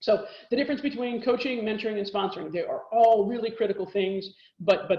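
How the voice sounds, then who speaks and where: Room echo is audible as a woman speaks at a very fast pace. Her pitch varies in an ordinary way. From Texas. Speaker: corporate lawyer. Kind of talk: lecture.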